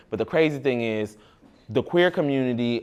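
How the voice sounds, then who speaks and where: Against a silent background in a very clean recording, a man talks at a moderate pace in an ordinary speaking voice with ordinary pitch variation. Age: adult. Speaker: youth mentor in fashion program. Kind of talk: group discussion with youth.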